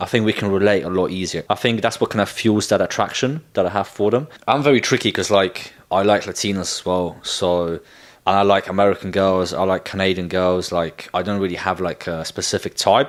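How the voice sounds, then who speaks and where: With a British accent, a man speaks at a fairly low pitch on a very clean recording with a silent background. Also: ordinary pitch variation, fairly quick pace. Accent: British-sounding English. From Poland, then England from age twelve. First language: Polish. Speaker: dating content creator. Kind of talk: casual vlog talk. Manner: casual, filler-heavy.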